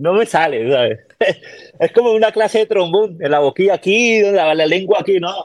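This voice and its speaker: Speaking at a fairly quick pace, a man with a high pitch and lively intonation is heard in a dry, close sound with no echo. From Peru, Callao (Lima). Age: 30s. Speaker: army musician. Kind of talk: casual chat.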